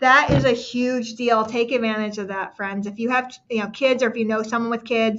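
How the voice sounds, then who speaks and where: A woman with a fairly high-pitched voice. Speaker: live-stream product presenter. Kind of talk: live shopping stream. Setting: live stream. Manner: stumbling over words.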